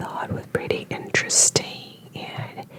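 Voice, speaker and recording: Whispering in a relaxed tone, with noticeable background noise. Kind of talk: ASMR rambling talk to camera. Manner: whispered, relaxed, rambling.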